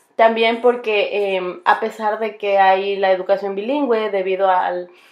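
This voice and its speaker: A woman speaks at a medium pitch and a fairly slow pace. Her intonation stays fairly even. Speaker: bilingual teacher and graduate student. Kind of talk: recorded class presentation. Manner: halting, many fillers and restarts.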